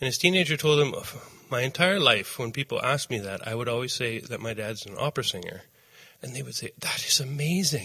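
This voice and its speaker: A man with a Canadian accent and a normal speaking voice, medium pitch, lively intonation, big swings in loudness and a fairly quick pace. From Canada, Saskatchewan. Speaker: farmer and former opera singer. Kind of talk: casual interview.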